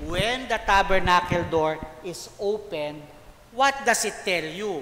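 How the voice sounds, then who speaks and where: Very slow delivery over noticeable background noise. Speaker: priest leading liturgical formation. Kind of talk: lecture. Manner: loud; animated.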